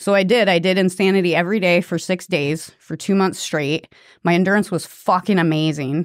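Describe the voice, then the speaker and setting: A woman with an ordinary speaking voice talks fairly quickly at a fairly low pitch, her intonation fairly even. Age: 40s. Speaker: fitness coach and former tattoo artist. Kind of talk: casual chat.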